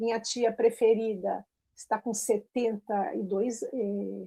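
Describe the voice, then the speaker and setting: Very slowly and with fairly even intonation, a woman speaks at a fairly high pitch in a dark, mellow tone, the sound dry and close with no echo. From Brazil. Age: 60s. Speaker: teacher who emigrated. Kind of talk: interview conversation.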